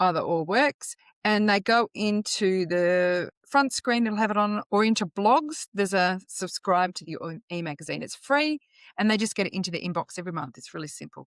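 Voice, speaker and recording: With an Australian accent, a woman at a medium pitch talks at a moderate pace with lively intonation and big swings in loudness. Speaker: financial educator. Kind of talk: podcast interview.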